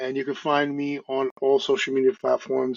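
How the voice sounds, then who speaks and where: This man speaks with a New York accent. His pitch sits in the medium range. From US Northeast, Brooklyn, New York. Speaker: podcast host and real estate agent. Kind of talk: interview. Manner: fast.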